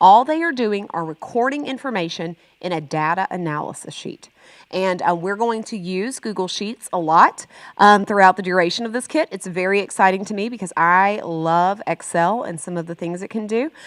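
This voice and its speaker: A woman speaks at a medium pitch with ordinary pitch variation. Her loudness swings widely. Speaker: teacher trainer. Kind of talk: professional development workshop. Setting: training room with online attendees. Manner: fast.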